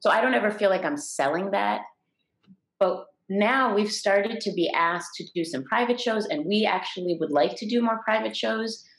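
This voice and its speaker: Her intonation lively, a woman speaks with vocal fry. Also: medium pitch for a woman, moderate pace. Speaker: comedy show producer and business owner. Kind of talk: interview, casual chat.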